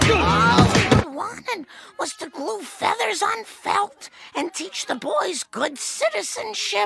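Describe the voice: A cartoonish character voice, high-pitched with very wide pitch swings, at a fairly slow pace over faint background music.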